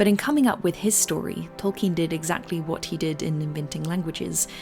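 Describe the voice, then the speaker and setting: A woman speaks at a fairly quick pace with fairly even intonation and a fairly low pitch, with music playing in the background. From New Zealand. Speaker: video essayist. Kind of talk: video essay narration.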